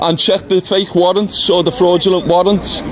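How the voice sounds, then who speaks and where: A man's high-pitched monotone in a northern English accent, with crowd noise behind him. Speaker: eviction protester. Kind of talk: heated argument. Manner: loud.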